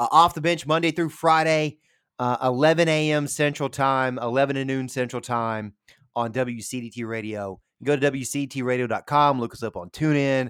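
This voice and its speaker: A man with a Tennessee accent talks with ordinary pitch variation on a very clean recording with a silent background. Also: medium pitch for a man, moderate pace. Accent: Southern US (Tennessee). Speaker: radio sports show host. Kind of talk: casual chat. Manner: halting, many fillers.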